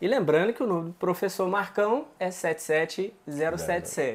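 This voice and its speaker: Speaking at a moderate pace, a man uses a plain, everyday voice with ordinary pitch variation. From Minas Gerais, Brazil. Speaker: interviewer. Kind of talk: interview.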